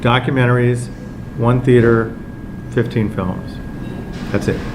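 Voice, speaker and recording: Noticeable background noise and audible room echo accompany a man. He speaks at a fairly slow pace with monotone, flat intonation. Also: medium pitch for a man. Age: 60s. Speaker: film festival director. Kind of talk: casual talk to press. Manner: hesitant, many fillers.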